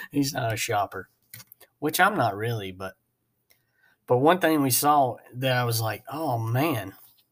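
The recording is very clean, with a silent background. A man speaks at medium pitch and a fairly slow pace, with lively intonation and long, frequent pauses. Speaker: podcast host. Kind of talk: casual chat; over-the-top car dealership pitchman sales spiel. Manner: animated, chatty, rambling.

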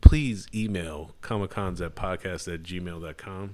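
This man's voice sits at a fairly low pitch. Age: 30s. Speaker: returning podcast guest, friend of host. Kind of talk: casual chat.

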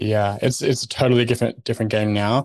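This man has a plain, everyday voice, fairly low in pitch with fairly even intonation. The sound is dry and close with no echo, over a quiet background. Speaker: blogger and designer. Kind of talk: casual interview chat.

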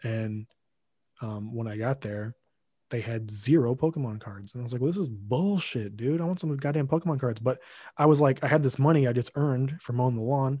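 With an American accent, a man speaks at a fairly quick pace in a dark, mellow, somewhat breathy tone, medium pitch, and ordinary pitch variation, over a quiet background. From US Midwest, Lincoln, Illinois. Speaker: podcast editor and co-host. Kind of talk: casual chat.

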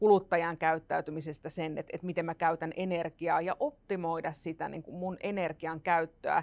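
A woman talks at a moderate pace and a fairly low pitch, with a plain, everyday voice. The recording is very clean, with a silent background and a dry, close sound with no echo. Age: 40s. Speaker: futurist. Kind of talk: panel discussion.

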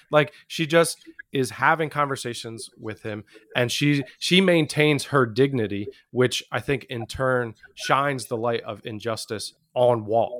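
A man with a plain, everyday voice, medium pitch, ordinary pitch variation, and a fairly slow pace. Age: 30s. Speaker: podcast host. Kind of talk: casual chat.

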